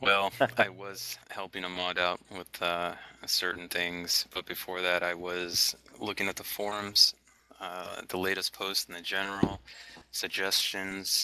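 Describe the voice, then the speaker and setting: A man's very deep, low voice at a fairly slow pace, with monotone, flat intonation, big swings in loudness, and a dry, close sound with no echo. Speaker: game company staff member. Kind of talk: interview over voice chat. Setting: voice chat server.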